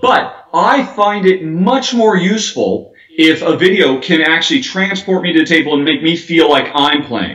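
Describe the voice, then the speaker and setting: Amid noticeable background noise, a man with an American accent speaks in a high pitch with lively intonation and hardly any pauses. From United States. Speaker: board game video reviewer. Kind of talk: interview. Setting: video call. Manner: fast.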